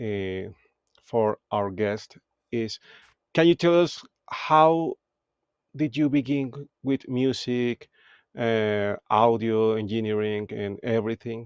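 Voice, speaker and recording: A man with a Spanish accent speaks at a medium pitch and a very slow pace, with long, frequent pauses and ordinary pitch variation. The background is quiet, and the sound is dry and close with no echo. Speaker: podcast host, music producer. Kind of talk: live interview. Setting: live stream.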